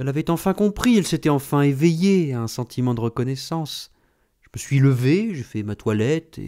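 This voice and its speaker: In a very clean recording with a silent background, a man with a fairly high pitch and a dark, mellow tone speaks at a moderate pace with lively intonation. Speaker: audiobook narrator. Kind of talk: literary audiobook reading, third-person narration with quoted dialogue. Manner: measured, storytelling pace, shifting into character voices for dialogue.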